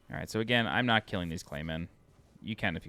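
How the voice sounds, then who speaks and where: Speaking fairly quickly with an American accent, a man uses a very deep, low pitch with vocal fry and a bright, sharp tone. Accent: New York accent, slips out when tired. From New York (Long Island). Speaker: video game walkthrough narrator. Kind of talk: game walkthrough tutorial. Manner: casual, conversational.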